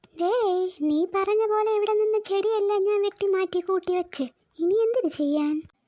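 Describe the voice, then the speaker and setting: A woman's cartoonish character voice at an extremely high pitch, with ordinary pitch variation and a moderate pace. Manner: nervous, stammering.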